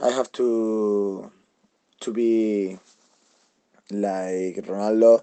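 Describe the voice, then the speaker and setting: A man's fairly low, dark and mellow voice with a Spanish accent, very slow and monotone, with long, frequent pauses. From Spain, Madrid. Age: 20s. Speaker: celebrity lookalike. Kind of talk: interview. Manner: halting.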